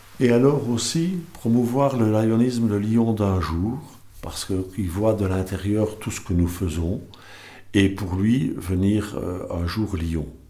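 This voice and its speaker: In a room with audible echo, a man with a fairly low pitch and a dark, mellow tone speaks at a very slow pace with ordinary pitch variation. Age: 60s. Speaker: service club candidate. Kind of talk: candidacy statement. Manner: halting, many hesitations.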